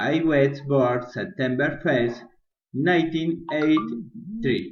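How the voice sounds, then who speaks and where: In a Spanish accent, a man speaks at a very slow pace with audible room echo. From Colombia, Bucaramanga, Santander. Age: 30s. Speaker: business administration student. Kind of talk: prepared presentation in a second language. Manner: halting, non-fluent.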